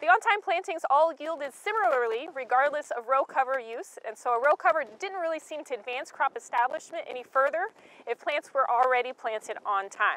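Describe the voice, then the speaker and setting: A fairly quick delivery with hardly any pauses, lively intonation, and a dry sound with no echo. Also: woman, high pitch for a woman. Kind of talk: extension talk presenting trial results. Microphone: lapel.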